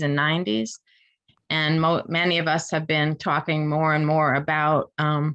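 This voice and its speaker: Here is a woman with an American accent and a fairly low pitch. The background is quiet. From New York. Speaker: professor. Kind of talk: lecture. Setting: video call. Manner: fast.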